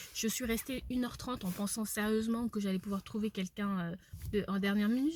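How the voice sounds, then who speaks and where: Somewhat breathy and fairly high, a woman's voice moves at a fairly quick pace with fairly even intonation. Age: 20s. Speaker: entrepreneur vlogger. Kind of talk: vlog monologue. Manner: fast; hesitant fillers.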